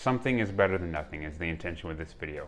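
A man's very deep, low voice comes through over light background noise. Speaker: fitness creator. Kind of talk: casual vlog chat. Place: home room.

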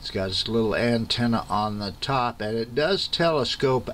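Light background noise sits behind a man's voice. He talks at a moderate pace with ordinary pitch variation. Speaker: radio owner showing his gear. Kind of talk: casual show-and-tell. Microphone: phone near.

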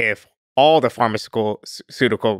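Against a quiet background, a man's fairly low-pitched voice comes through with a dry sound and no echo. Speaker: podcast guest. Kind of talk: interview answer. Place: studio. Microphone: studio mic.

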